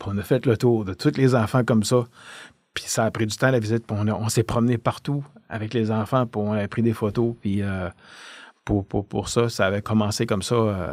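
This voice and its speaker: A man with a fairly low pitch and fairly even intonation speaks at a moderate pace, the sound dry and close with no echo. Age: 60s. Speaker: retired police officer. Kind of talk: podcast interview, storytelling. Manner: halting, many hesitations.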